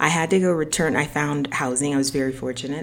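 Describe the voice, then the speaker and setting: Against noticeable background noise, a woman with an American accent and a very deep, low pitch speaks at a fairly quick pace. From US, Haitian American family. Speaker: podcast host. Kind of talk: personal monologue. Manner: hesitant, many fillers.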